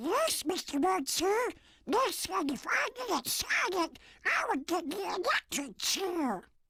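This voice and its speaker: Squeaky and extremely high, a put-on character voice goes at a fairly slow pace. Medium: video game. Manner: meek, apologetic.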